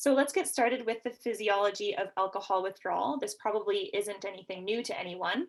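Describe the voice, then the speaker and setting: A woman talks at a fairly quick pace, her medium pitch showing ordinary pitch variation. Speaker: nurse practitioner and educator. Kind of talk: lecture. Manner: fast.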